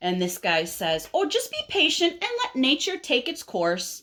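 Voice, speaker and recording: A woman's put-on character voice, high in pitch, with very wide pitch swings. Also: moderate pace. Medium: read story. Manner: calm but increasingly exasperated.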